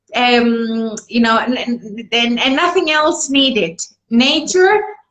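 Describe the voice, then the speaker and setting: With audible room echo, a woman speaks at a very slow pace in a high pitch, her loudness very even and her intonation lively. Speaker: food company representative. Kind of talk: live product presentation.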